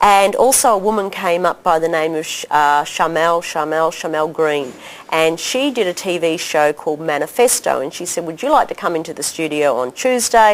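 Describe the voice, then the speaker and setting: A woman with an Australian accent speaks at a fairly low pitch and a moderate pace. Her intonation is lively, with noticeable background noise. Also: hardly any pauses. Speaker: doctor and health educator. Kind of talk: interview storytelling. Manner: animated.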